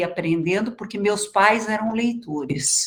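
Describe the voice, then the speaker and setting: A woman with a somewhat breathy, medium-pitched voice uses lively intonation. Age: 60s. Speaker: education researcher, guest lecturer. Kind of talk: lecture.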